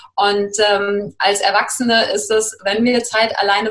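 Backed by music, a woman talks at a fairly high pitch. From Germany, Cologne. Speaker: life coach. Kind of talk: interview.

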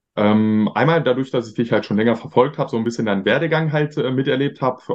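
A man at a medium pitch uses ordinary pitch variation in an ordinary speaking voice. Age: 20s. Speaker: marketing agency owner. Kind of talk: interview.

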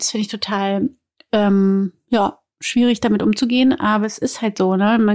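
A woman with a normal speaking voice talks at a moderate pace in a fairly high pitch, recorded very cleanly against a silent background. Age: 30s. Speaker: actress and podcast co-host. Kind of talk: casual chat.

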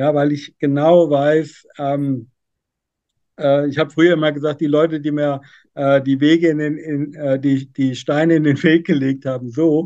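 Fairly slow and monotone, a man speaks with flat intonation, a fairly high pitch and a dark, mellow tone. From central Hesse, Germany. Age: 50s. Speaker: business owner. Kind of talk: podcast interview.

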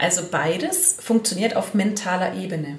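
There is audible room echo and noticeable background noise. A woman speaks at a fairly slow pace. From Allgäu, southern Germany. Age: 40s. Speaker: hypnotherapist. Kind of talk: interview.

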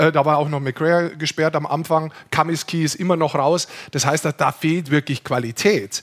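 A man's fairly high-pitched, normal speaking voice at a moderate pace, with fairly even intonation and a dry, close sound with no echo. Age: 60s. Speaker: ice hockey expert co-host. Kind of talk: casual chat.

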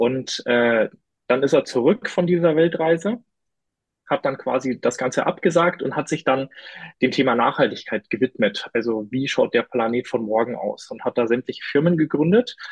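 Delivered at a moderate pace, the speech carries lively intonation. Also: man, fairly high pitch for a man. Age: 20s. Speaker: climate-tech partner manager. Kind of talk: podcast interview. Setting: studio. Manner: hesitant, many fillers.

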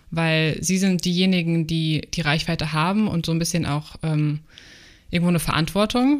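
A woman with a normal speaking voice talks at a moderate pace and fairly low pitch. Her loudness stays very even, with ordinary pitch variation. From Germany, Frankfurt. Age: 20s. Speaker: aspiring travel influencer. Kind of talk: casual interview.

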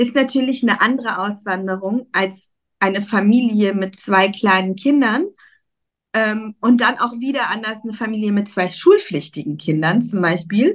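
Somewhat breathy and fairly high in pitch, a woman talks at a moderate pace with ordinary pitch variation. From Germany, Cologne. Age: 40s. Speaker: emigration consultant. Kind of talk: casual interview chat.

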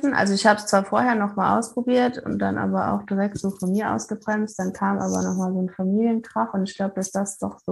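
A woman speaks fairly quickly with music going on behind her. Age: 30s. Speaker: psychology graduate and coach, former addict. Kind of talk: casual interview about addiction recovery.

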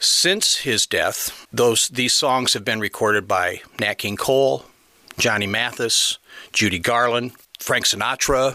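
Someone with a Midwestern American accent speaks at a fairly slow pace, with fairly even intonation and very even loudness. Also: man. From northern Illinois, Rockford. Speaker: retired band director and guest conductor. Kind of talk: interview. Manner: halting, with fillers.

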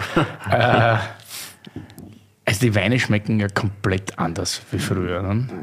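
Over noticeable background noise, a man with an Austrian accent speaks at fairly low pitch with fairly even intonation. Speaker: podcast host. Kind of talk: casual chat.

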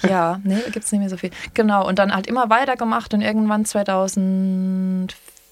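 A woman with a medium pitch speaks at a moderate pace in a normal speaking voice. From Palatinate, Landau. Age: 30s. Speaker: singer and singing DJ. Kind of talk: casual chat.

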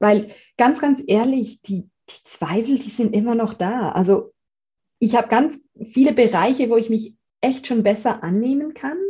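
With a slight Swiss German accent, a woman of fairly high pitch and dark, mellow tone speaks fairly slowly, with ordinary pitch variation, big swings in loudness, and long, frequent pauses. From Switzerland, Zurich. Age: 30s. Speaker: gratitude coach and author. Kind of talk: interview. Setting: video call.

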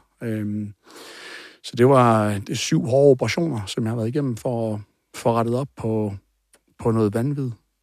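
A man with a medium pitch speaks at a fairly slow pace, leaving long, frequent pauses. His intonation stays fairly even. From Denmark, Aarhus. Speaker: coach and former bodybuilder. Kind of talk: interview testimony.

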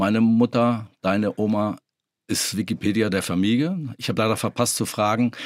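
A man uses a plain, everyday voice, neither hurried nor slow, at a moderate pace. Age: 60s. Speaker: podcast co-host, retiree. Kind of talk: casual chat.

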